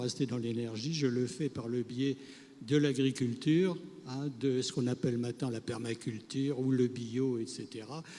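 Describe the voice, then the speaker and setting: At a moderate pace, a man speaks at medium pitch with a dark, mellow tone and fairly even intonation. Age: 80s+. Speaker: retired solar energy pioneer. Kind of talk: interview anecdote.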